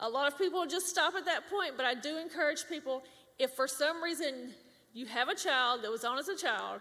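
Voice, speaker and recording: A woman's high, raised and projected voice with ordinary pitch variation at a fairly quick pace. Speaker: government public affairs specialist. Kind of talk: workshop presentation. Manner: loud.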